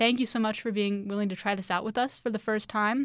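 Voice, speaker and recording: A plain, everyday voice with fairly even intonation, captured in a very clean recording against a silent background. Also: woman. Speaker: student podcast host. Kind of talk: casual interview.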